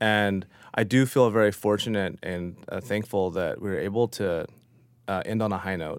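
Here a man with a fairly low pitch and a normal speaking voice talks at a moderate pace in a very clean recording with a silent background. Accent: American. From US. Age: 40s. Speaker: chef. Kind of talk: interview.

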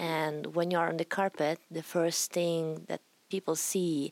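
A woman's very deep, low voice in an Italian accent at a fairly slow pace, dry and close with no echo, on a very clean recording with a silent background. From Italy. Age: 20s. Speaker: retired rhythmic gymnast. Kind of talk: interview.

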